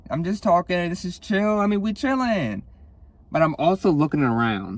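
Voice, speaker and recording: A somewhat breathy man with lively intonation at a moderate pace. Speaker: podcast host. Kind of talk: casual chat. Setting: near a window, car outside. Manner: slurred, halting.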